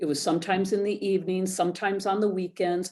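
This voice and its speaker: At a very fast pace, a woman talks in a medium pitch with a dark, mellow tone. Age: 60s. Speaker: photographer, former social worker. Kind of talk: interview.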